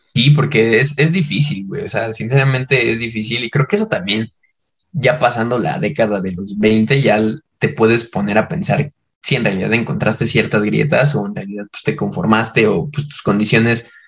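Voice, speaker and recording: Somewhat breathy male voice, medium in pitch, with ordinary pitch variation. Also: moderate pace. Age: 20s. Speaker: podcast co-host. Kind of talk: casual chat.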